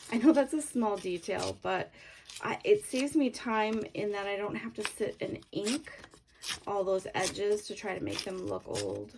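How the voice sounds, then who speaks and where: A woman speaks with a slight Canadian accent. Her pace is moderate. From Canada. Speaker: craft tutorial creator. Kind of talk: tutorial. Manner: casual, hesitant with fillers.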